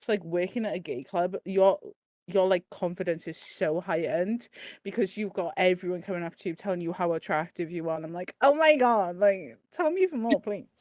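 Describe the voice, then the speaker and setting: Her intonation is lively and her pace fairly quick. The woman's recording is very clean, with a silent background. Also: medium pitch for a woman, dry, close sound with no echo. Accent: Welsh. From Wales. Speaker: podcast panelist, nightclub bouncer. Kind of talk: casual chat. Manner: halting, many fillers.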